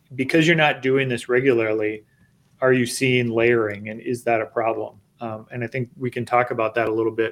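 A man speaks fairly quickly in a normal speaking voice, medium in pitch with fairly even intonation. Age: 40s. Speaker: golf course superintendent. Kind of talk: live-streamed technical discussion. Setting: video call.

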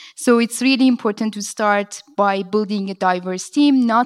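At a moderate pace, a woman with a non-native accent speaks at a fairly high pitch in a very clean recording with a silent background and a dry, close sound with no echo. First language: not English. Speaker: venture capital impact lead. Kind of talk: conference panel discussion. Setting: stage with audience.

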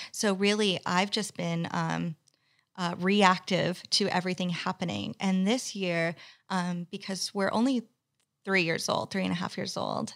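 A woman with an American accent has an unremarkable speaking voice at a medium pitch. She speaks at a fairly slow pace with fairly even intonation. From US, Texas and California. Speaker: business owner, video agency founder. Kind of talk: interview, casual chat. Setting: podcast studio.

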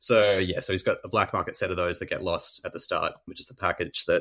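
A man rattles along at a very fast pace on a very clean recording with a silent background. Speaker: thriller author and musician. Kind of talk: interview conversation.

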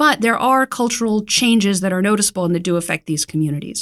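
Recorded with a dry, close sound and no echo, a plain, everyday voice with an American accent moves with ordinary pitch variation. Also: woman. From US South, Raleigh, North Carolina. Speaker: magazine editor. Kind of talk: interview. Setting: studio.

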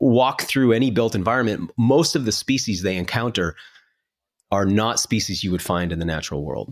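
A man with an unremarkable speaking voice at a medium pitch and fairly quick pace, ordinary pitch variation, in a very clean recording with a silent background. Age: 40s. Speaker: TV host and podcaster. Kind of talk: casual chat.

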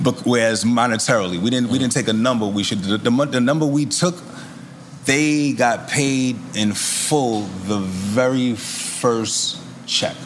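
Audible room echo and noticeable background noise surround a man with a New York accent. His loudness stays very even, and his pitch varies in an ordinary way. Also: medium pitch for a man, fairly slow pace. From Queens, New York. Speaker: rapper. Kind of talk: casual chat.

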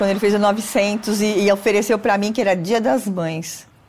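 A woman's medium-pitched voice, varying in pitch in an ordinary way, comes through noticeable background noise. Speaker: athlete's mother. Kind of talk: interview.

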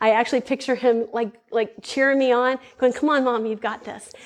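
An ordinary speaking voice at a moderate pace, with ordinary pitch variation. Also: woman. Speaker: speaker at a women's ministry event. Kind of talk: testimony. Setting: stage with audience.

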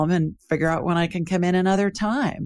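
Music plays behind a woman with a fairly low pitch. She speaks at a moderate pace. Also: dry, close sound with no echo. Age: 60s. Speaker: psychic and podcast host. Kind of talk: interview.

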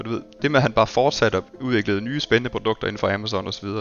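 A man with a medium-pitched voice talks at a very fast pace with ordinary pitch variation over music in the background. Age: 40s. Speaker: tech company employee. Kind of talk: interview. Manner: halting.

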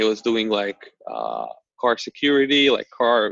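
A man speaks at a medium pitch. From Slovakia and Hungary. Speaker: startup founder and CEO. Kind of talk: casual interview.

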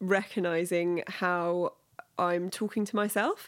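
Fairly even intonation carries this voice, spoken with a London accent. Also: woman. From London, England. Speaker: podcast guest, product worker. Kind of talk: casual interview chat.

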